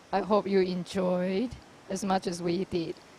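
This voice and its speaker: Speaking rather slowly, the woman has a non-native accent. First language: not English. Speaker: squash commentator. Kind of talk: live commentary.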